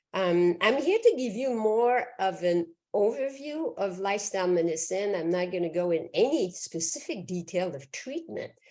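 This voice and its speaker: A woman's dark, mellow voice with a Quebec accent, medium pitch and lively intonation, at a moderate pace with hardly any pauses. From Quebec, Canada. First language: French. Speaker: physician. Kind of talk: lecture.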